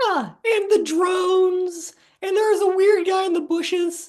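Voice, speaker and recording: At a moderate pace, a squeaky put-on character voice sounds out at an extremely high pitch. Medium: comedy sketch. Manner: deadpan, unflappable.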